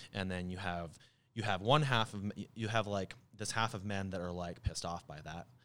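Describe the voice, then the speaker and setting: With an American accent, a man has a plain, everyday voice, fairly low in pitch, with ordinary pitch variation. He talks at a fairly quick pace on a very clean recording with a silent background. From Arizona, US. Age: 20s. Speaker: musician. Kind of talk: casual chat.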